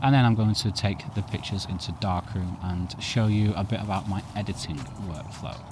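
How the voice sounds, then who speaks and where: Fairly low male pitch with ordinary pitch variation at a fairly quick pace, over noticeable background noise. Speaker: photography youtuber. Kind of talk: tutorial. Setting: outdoors.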